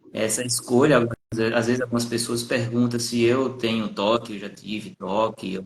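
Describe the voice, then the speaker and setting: A man speaks with a northeastern Brazilian accent. His pitch is medium and his pace moderate. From Brazilian Northeast, Paraíba. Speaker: psychologist. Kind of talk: live stream conversation. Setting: Instagram live video call.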